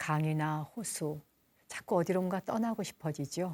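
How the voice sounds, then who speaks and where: This is a very clean recording with a silent background and a dry, close sound with no echo. A woman speaks in a gentle tone with ordinary pitch variation. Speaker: Buddhist nun and broadcast host. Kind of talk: calm broadcast talk between music. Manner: slow, gentle.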